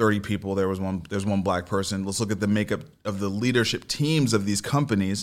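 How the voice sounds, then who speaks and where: A man with an American accent talks at a very fast pace with hardly any pauses, in a fairly low pitch with fairly even intonation. The recording is very clean, the background silent. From US Northeast, Brooklyn, New York. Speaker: venture capitalist and entrepreneur. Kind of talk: radio interview. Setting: radio studio.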